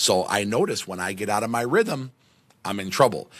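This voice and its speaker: A man speaks loudly at a moderate pace, his pitch medium. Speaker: podcast host. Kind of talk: motivational monologue. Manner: energetic.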